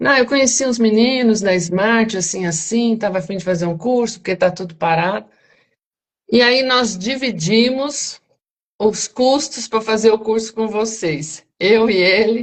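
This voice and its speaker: A woman speaks at a fairly slow pace, fairly high-pitched, with ordinary pitch variation. She has a plain, everyday voice. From Brazil, São Paulo. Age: 60s. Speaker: retired banker and teacher, property auction investor. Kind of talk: interview on live stream. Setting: live stream.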